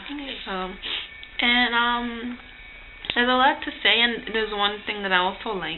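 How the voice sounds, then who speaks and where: Over noticeable background noise, a woman with a fairly high pitch speaks at a moderate pace, showing ordinary pitch variation and long, frequent pauses. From Guyana. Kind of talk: casual talk to camera.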